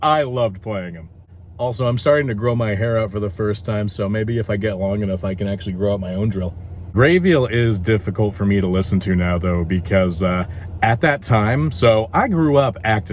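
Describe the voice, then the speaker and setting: Ordinary in pitch variation and fairly low in pitch, a man with a normal speaking voice talks at a moderate pace. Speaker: voice actor. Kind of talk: casual talk to camera.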